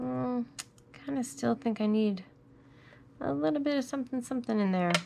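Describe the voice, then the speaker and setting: The voice swings very widely in pitch while its loudness stays very even, at a moderate pace. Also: woman, fairly high pitch for a woman. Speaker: crafting tutorial host. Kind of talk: tutorial. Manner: casual, thinking aloud.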